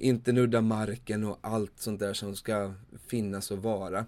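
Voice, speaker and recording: A man's fairly low, monotone, flat voice at a fairly slow pace, in a very clean recording with a silent background. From Sweden, Småland (Vimmerby). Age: 30s. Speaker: podcast host, campsite owner. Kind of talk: solo podcast monologue.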